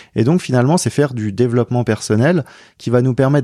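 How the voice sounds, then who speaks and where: A man speaks at a fairly quick pace in a medium pitch with ordinary pitch variation and a dark, mellow tone, recorded very cleanly against a silent background with a dry, close sound and no echo. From rural France. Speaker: entrepreneur and researcher. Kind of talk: interview conversation. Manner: halting, with repetitions.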